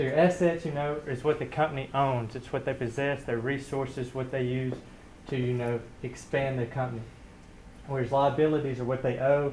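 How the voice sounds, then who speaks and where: Speaking at a fairly quick pace, a man with a Southern US accent keeps a medium pitch and a monotone, flat intonation, with audible room echo around him. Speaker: student presenter. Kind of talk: lecture-style presentation.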